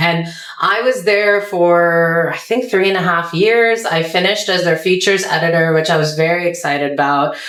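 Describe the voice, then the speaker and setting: Over noticeable background noise and audible room echo, a woman with an American accent speaks at a fairly low pitch and very even loudness. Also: ordinary pitch variation, moderate pace. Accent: American, often thought fake in Pakistan. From US, Potomac, Maryland. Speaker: journalist and comedian. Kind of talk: interview conversation. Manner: animated.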